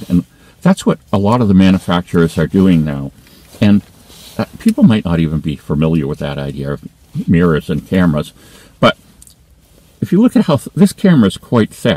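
The man's very deep, low pitch moves with ordinary variation in a dry sound with no echo. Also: fairly quick pace. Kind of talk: casual vlog chat. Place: car.

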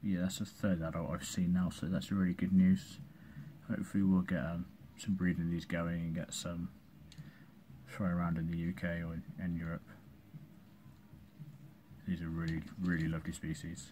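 A man's very deep, low voice with a dark, mellow tone, at a moderate pace with long, frequent pauses and light background noise. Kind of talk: casual vlog chat. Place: home room. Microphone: phone near.

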